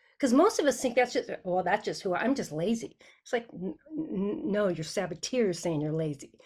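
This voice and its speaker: Her medium-pitched voice swings very widely in pitch and sounds somewhat breathy. The woman speaks at a fairly quick pace. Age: 60s. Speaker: sales mental fitness coach. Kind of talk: podcast interview. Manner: animated; halting.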